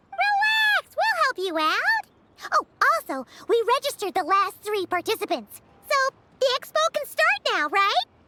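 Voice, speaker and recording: This is a put-on character voice pitched extremely high. It moves along at a moderate pace. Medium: video game. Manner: energetic, exclamatory.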